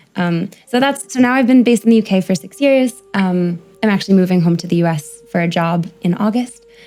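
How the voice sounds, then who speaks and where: Amid noticeable background noise, a woman with an American accent talks at a fairly quick pace and medium pitch, with ordinary pitch variation. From US, New York City. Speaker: primatologist. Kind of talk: podcast interview.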